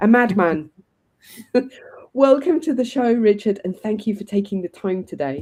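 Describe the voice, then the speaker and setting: With long, frequent pauses, a woman speaks at a moderate pace in a dark, mellow tone, her fairly high pitch making very wide swings. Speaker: podcast host. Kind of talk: interview. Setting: live online stream.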